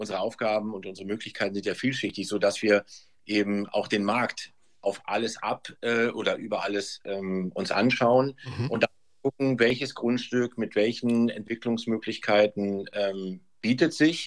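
Pitch variation is ordinary. The pace stays moderate. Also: man, medium pitch for a man. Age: 50s. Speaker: real estate sales manager. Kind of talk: interview. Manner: halting, many fillers.

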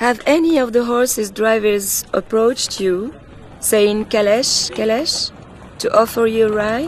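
Over noticeable background noise, a woman with a fairly high pitch talks at a fairly slow pace with ordinary pitch variation. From Morocco. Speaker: audio tour guide. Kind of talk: scripted narration.

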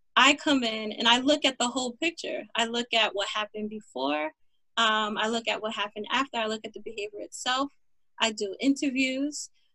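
Speaking at a fairly quick pace, a woman has a fairly high pitch and ordinary pitch variation. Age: young. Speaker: behavioral therapist and mental health coach. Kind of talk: interview.

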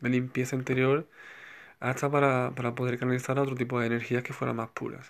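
This man talks at a medium pitch. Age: 30s. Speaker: spiritual healer podcaster. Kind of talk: solo spiritual talk. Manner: halting, many repetitions and fillers.

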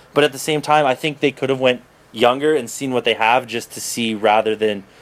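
In a Canadian accent, a man talks at a fairly quick pace with ordinary pitch variation and an unremarkable speaking voice. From Toronto, Canada. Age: 20s. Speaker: podcast host and writer. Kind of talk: casual chat.

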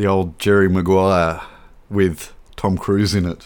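A man's very deep, low voice at a very slow pace, in a monotone, flat intonation. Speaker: film podcast host. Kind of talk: casual chat.

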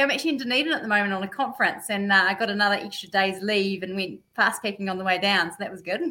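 With a New Zealand accent, a woman talks at a very fast pace with hardly any pauses, her medium-pitched voice bright and sharp, showing ordinary pitch variation and big swings in loudness. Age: 40s. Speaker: amateur mountain biker. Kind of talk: casual chat.

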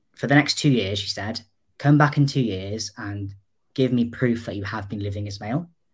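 A man with a North Welsh accent speaks at medium pitch. His voice is somewhat breathy, with ordinary pitch variation. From North Wales. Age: 20s. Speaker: digital designer, mental health advocate. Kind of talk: interview.

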